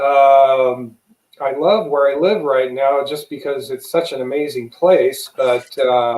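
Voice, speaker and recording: Ordinary pitch variation runs through a man's speech in an American accent. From Las Vegas, Nevada, US. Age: 60s. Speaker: retired Navy veteran and UFO hunter. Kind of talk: interview.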